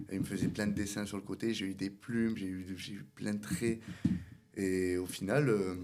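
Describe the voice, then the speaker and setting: A man's fairly low voice at a moderate pace with fairly even intonation. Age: 20s. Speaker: barber and salon owner. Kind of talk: interview. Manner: hesitant, many fillers.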